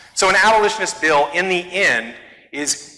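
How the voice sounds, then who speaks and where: A man's animated, high-pitched voice at a moderate pace with ordinary pitch variation, audible room echo and noticeable background noise. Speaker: activist speaker. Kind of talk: talk to church audience. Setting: church.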